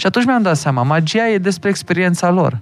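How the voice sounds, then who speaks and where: Talking at a fairly quick pace, a man with a high voice makes very wide pitch swings. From Hunedoara, Romania. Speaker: magician. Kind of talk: casual chat.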